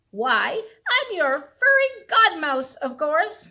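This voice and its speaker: A woman puts on a squeaky character voice at an extremely high pitch, speaking very slowly with very wide pitch swings. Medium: read story.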